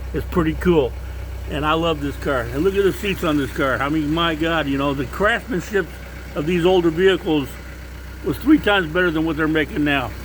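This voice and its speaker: A man talks at a fairly quick pace in an animated tone. Noticeable background noise is present. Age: 60s. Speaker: car enthusiast vlogger. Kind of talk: casual video walkaround. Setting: outdoors at night by his car.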